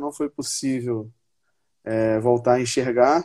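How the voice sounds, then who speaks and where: A man's medium-pitched voice, dark and mellow in tone, with ordinary pitch variation at a moderate pace. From Brazil, Paraíba interior. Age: 20s. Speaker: Paralympic judo athlete. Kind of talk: interview on a live stream.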